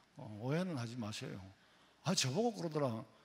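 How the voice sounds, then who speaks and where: This man speaks at a fairly quick pace with a Gyeongsang accent. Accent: Gyeongsang dialect, noticeable. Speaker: pastor. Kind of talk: sermon. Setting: church. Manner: casual, conversational with humor.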